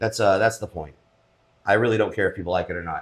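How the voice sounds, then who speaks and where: A man talks with noticeable vocal fry. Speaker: podcast co-host. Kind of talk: casual chat. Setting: home studio. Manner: loud.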